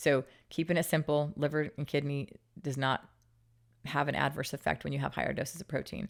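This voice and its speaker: In an American accent, a woman with a very deep, low pitch and vocal fry speaks at a fairly quick pace, leaving long, frequent pauses, on a very clean recording with a silent background. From Utah. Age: 40s. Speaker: fitness entrepreneur. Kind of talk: interview conversation. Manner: fast; animated.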